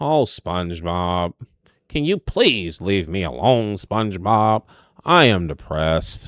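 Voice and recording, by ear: Using a put-on character voice, a man talks at a fairly slow pace with fairly low pitch on a very clean recording with a silent background.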